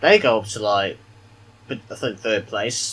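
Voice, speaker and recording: A man with a British accent speaks at a moderate pace in a bright, sharp tone. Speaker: gaming YouTuber. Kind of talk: gameplay commentary. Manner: quiet.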